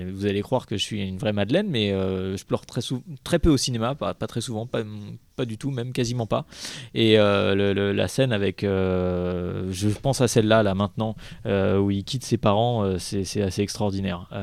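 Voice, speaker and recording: At a moderate pace, a man speaks in an unremarkable speaking voice with a fairly low pitch and ordinary pitch variation. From Paris. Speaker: film festival programmer. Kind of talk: casual chat.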